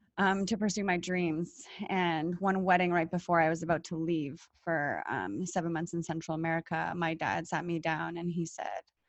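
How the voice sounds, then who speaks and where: The speaker, with a Canadian accent, talks with hardly any pauses and fairly even intonation. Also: woman, fairly low pitch for a woman, moderate pace. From Canada. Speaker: former engineer. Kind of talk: podcast interview. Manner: halting.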